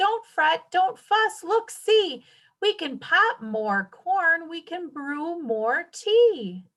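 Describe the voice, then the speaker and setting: Putting on a squeaky character voice, a woman speaks at an extremely high pitch and a very slow pace. Her pitch swings very widely and her loudness swings a lot. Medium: read story.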